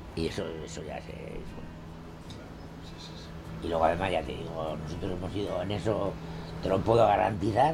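Background music and audible room echo around a man's speech. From Castile, Spain (Burgos). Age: 90s. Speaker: retired printer. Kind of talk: interview. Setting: at his home. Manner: halting.

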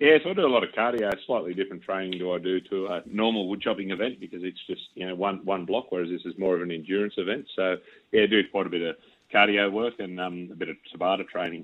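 A man with an Australian accent speaks at a very fast pace. His voice is fairly low, with ordinary pitch variation. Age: 40s. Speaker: wood chopping champion. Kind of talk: radio interview.

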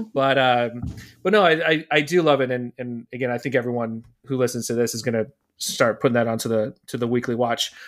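This man has an unremarkable speaking voice, medium in pitch, and talks at a fairly quick pace with fairly even intonation. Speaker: podcast co-host. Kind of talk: casual chat.

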